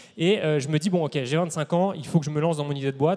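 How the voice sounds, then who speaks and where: This man speaks at a very fast pace, his fairly high pitch held in fairly even intonation. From France, Paris. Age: 30s. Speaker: entrepreneur. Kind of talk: conference talk. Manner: hesitant fillers.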